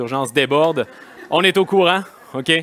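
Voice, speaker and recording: The intonation is lively as this man talks. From Quebec. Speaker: kinesiology federation president; conference speaker. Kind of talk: conference talk. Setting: stage with audience. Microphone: headset.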